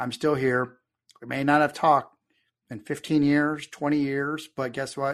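Someone with a Texan accent talks over a quiet background. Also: man. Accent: Texan American. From Texas. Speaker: army veteran and marketing consultant. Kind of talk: casual interview.

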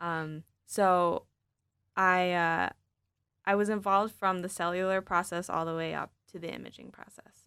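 A woman's fairly low-pitched voice in a Midwestern American accent, monotone and flat, at a moderate pace with big swings in loudness, on a very clean recording with a silent background. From Michigan, East Lansing. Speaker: recent graduate, incoming medical student. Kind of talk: interview.

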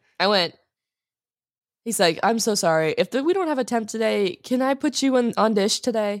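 A woman has a plain, everyday voice with a fairly high pitch, lively intonation and very even loudness. She speaks at a moderate pace in a very clean recording with a silent background. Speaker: podcast co-host. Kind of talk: casual chat.

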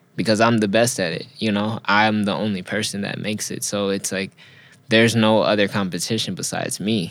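Flat and monotone, a man with an American accent talks at a fairly quick pace and a fairly low pitch. The recording is very clean, with a silent background. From Los Angeles (Inglewood), California. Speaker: fashion designer and artist. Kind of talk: casual interview.

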